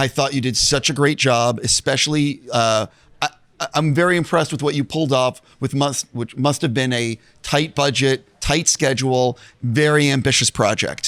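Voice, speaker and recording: With a dry, close sound and no echo, a man in an ordinary speaking voice talks at a moderate pace with fairly even intonation. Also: fairly high pitch for a man. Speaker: entertainment interviewer. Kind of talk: interview questions.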